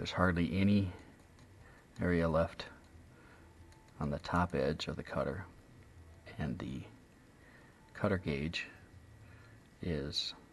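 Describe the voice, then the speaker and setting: Soft-spoken and relaxed in tone, a man talks at a very slow pace in a very deep, low pitch, with noticeable background noise. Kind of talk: instructional tutorial explanation. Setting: indoors, close to the microphone, ASMR-style recording. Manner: soft-spoken, relaxed.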